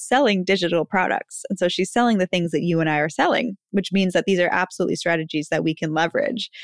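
A woman at a very fast pace with ordinary pitch variation, a dry, close sound with no echo and a very clean recording over a silent background. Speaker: podcast host, brand and business strategist. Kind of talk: solo podcast monologue. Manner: animated.

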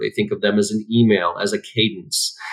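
Medium in pitch, a man's ordinary speaking voice shows ordinary pitch variation. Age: 40s. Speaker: sales trainer and CEO. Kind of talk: interview conversation.

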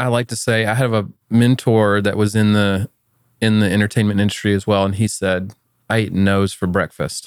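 A man with an American accent speaks at a moderate pace in a fairly low, monotone, flat intonation with long, frequent pauses, in a dry, close sound with no echo on a very clean recording with a silent background. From US South, Atlanta, Georgia. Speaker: software company founder. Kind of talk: interview. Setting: studio.

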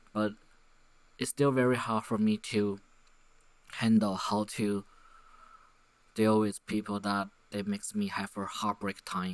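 Speaking at a fairly slow pace, a man with a fairly low pitch talks with a Chinese accent. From Taiwan. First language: Mandarin Chinese. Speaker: podcaster. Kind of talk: solo monologue. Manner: halting; many fillers.

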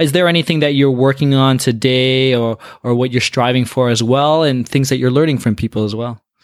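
An unremarkable speaking voice from a man, medium in pitch, with fairly even intonation, a fairly quick pace and hardly any pauses, on a very clean recording with a silent background. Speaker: podcast host. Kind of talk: casual interview chat.

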